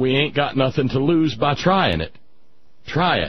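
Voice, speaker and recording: Somewhat breathy, a man with an American accent speaks at a medium pitch with lively intonation. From Southern United States. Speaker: radio talk show host. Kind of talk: radio monologue, storytelling.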